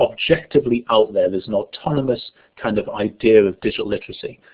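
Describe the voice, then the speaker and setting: Speaking at medium pitch, a man with a northern English accent uses lively intonation. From northern England. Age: 30s. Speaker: education researcher. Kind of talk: online lecture. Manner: fast.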